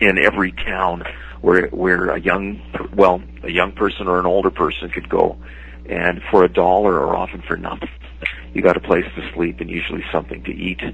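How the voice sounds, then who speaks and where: With noticeable background noise behind him, a man with a Canadian accent speaks at a moderate pace in a very deep, low voice. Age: 60s. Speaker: comic book artist and writer. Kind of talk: interview. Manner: halting, many fillers and repeats.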